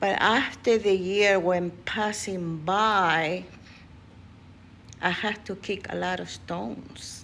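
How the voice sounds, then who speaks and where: The speaker has a non-native accent and a very slow pace. The intonation stays fairly even. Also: woman, medium pitch for a woman. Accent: foreign accent in English. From USA, immigrant since teens. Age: 70s. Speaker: vlogger. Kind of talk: personal vlog monologue. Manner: halting, many fillers.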